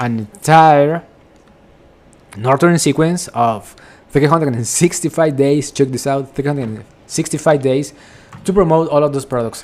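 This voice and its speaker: Speaking with a Spanish accent, a man talks at a moderate pace and a fairly high pitch, with ordinary pitch variation. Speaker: affiliate marketing vlogger. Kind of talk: screen-share tutorial. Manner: casual, repetitive with filler words.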